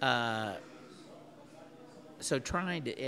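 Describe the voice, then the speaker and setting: A man with a medium-pitched voice sounds bright and sharp, with vocal fry. His pitch swings very widely. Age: 60s. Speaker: podcast co-host. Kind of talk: casual chat.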